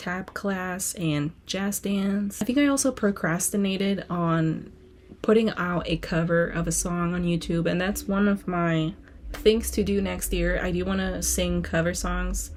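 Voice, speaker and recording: A woman's voice at medium pitch. It sounds somewhat breathy. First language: Spanish. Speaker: student vlogger and singer. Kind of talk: casual vlog reading from journal. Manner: animated.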